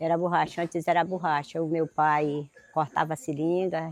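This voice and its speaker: A woman with an unremarkable speaking voice, fairly low in pitch and with ordinary pitch variation, is heard in a dry, close sound with no echo. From Brazil, Acre (Amazon extractive reserve). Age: 60s. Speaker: extractive reserve resident, farmer. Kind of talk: oral history testimony.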